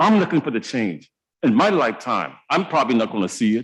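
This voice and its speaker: An animated man speaks in an American accent at medium pitch. His pitch swings very widely at a moderate pace. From US South, Charleston, South Carolina. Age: 70s. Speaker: city council member. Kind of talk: council floor speech. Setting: council chamber. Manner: impassioned, animated.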